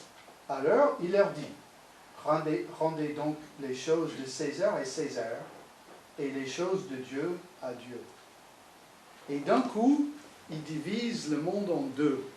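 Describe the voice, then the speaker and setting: A man with a fairly high voice speaks at a very slow pace, with long, frequent pauses and big swings in loudness. Room echo is audible, and background noise is noticeable. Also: lively intonation. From United States. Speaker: pastor. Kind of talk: sermon. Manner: animated.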